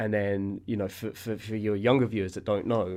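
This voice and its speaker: A man with a London accent and a fairly low pitch, against a quiet background. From Southwest London. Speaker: former basketball website founder, TV producer. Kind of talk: casual interview.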